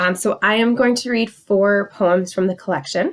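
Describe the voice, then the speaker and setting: This woman has an unremarkable speaking voice at a medium pitch. Her pitch varies in an ordinary way. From Canada. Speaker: poet. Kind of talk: casual talk to camera.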